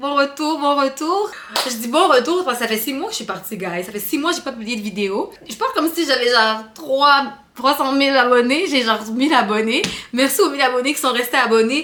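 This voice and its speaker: Over noticeable background noise, a woman talks at a fairly quick pace. Her pitch is high and her intonation lively. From Quebec, Canada (Rwandan-born, arrived at 8). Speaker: vlogger. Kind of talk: casual chat to camera. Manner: careful standard French on camera.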